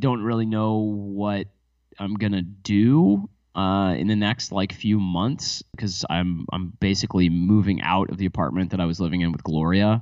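This man talks at a moderate pace with a fairly low pitch and ordinary pitch variation. His tone is animated. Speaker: podcast co-host. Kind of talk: casual intimate conversation. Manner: animated, joking.

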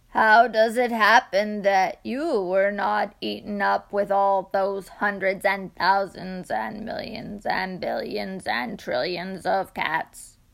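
A woman's put-on character voice at a medium pitch, fairly slow and with hardly any pauses. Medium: read story.

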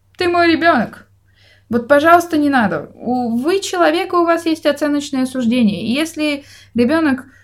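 In a very clean recording with a silent background, a woman talks with very wide pitch swings. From Russia. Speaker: podcast co-host. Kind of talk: casual chat.

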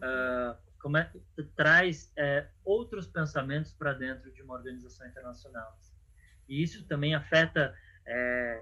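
A man talks at a fairly slow pace. His voice sits fairly high in pitch and has a bright, sharp tone. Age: 30s. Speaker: clown and NGO finance manager. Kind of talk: casual interview. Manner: halting.

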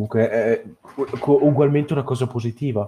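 Somewhat breathy, this man's voice has a dark, mellow tone and a monotone, flat intonation. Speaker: podcast interviewer. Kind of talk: casual interview chat. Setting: online call.

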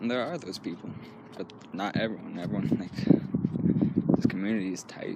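A man with a fairly low pitch and ordinary pitch variation talks at a moderate pace, with noticeable background noise behind him. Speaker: podcast host. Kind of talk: casual solo podcast monologue. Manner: self-deprecating, casual.

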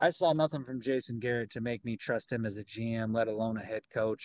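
A man with an American accent talks in a plain, everyday voice at a medium pitch. He goes at a fairly quick pace with hardly any pauses and fairly even intonation, recorded dry and close with no echo. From Texas. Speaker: podcast co-host. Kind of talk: casual chat.

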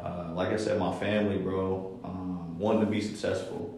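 A man with an American accent speaks at a moderate pace and a fairly low pitch with fairly even intonation, amid noticeable background noise and audible room echo. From Columbus, Ohio (east side). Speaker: rapper and golfer. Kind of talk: casual chat.

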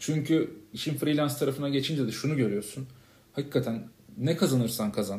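A man's dark, mellow, somewhat breathy voice at a fairly quick pace, with ordinary pitch variation. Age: 30s. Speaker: podcast co-host, freelance marketer. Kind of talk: casual chat.

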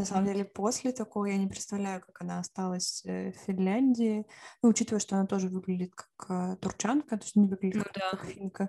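At a very fast pace, a woman talks in a medium pitch with a dark, mellow, somewhat breathy tone, recorded dry and close with no echo. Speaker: podcast co-host. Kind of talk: casual chat.

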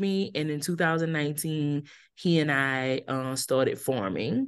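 A fairly slow delivery over a quiet background. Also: woman. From Louisiana, New Iberia. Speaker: entrepreneur and farmer. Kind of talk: interview.

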